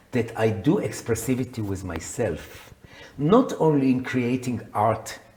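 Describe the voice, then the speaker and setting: A man talks at a fairly slow pace and a medium pitch with lively intonation. Background noise is noticeable. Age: 70s. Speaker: psychotherapist and coach. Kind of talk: interview.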